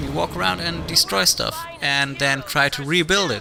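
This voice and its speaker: Music in the background behind a man's fairly high voice, its pitch swinging very widely. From Germany. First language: German. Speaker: gaming video commentator. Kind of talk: gameplay commentary. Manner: hesitant, with frequent fillers and repeats; casual, conversational.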